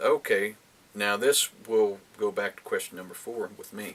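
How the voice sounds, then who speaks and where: A man speaks at a moderate pace. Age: 50s. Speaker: book vlogger. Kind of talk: casual chat. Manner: halting.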